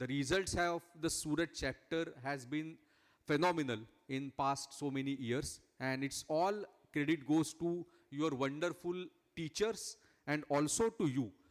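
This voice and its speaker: A man with a Marathi accent speaks at a fairly slow pace. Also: fairly high pitch for a man, ordinary pitch variation. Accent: Indian English, Marathi. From India, Maharashtra. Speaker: cost accountant, chief guest speaker. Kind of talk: speech at prize ceremony. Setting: large hall with audience. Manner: hesitant, frequent 'uh' and 'correct?'.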